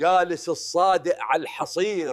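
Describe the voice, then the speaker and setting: A man's high-pitched voice with a Levantine accent, at a fairly slow pace. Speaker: storyteller. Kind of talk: comedic folk-proverb sketch dialogue.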